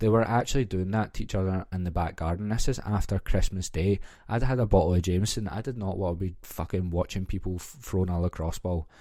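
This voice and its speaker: In a very clean recording with a silent background, a man speaks at a fairly quick pace in a very deep, low pitch with a dark, mellow tone. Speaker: podcast host. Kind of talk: casual solo podcast chat. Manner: animated storytelling.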